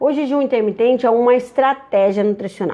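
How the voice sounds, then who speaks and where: This is a woman speaking. Her pitch is high. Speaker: nutritionist. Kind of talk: live stream Q&A talk. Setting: live stream. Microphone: echo and stuttering stream, since improved.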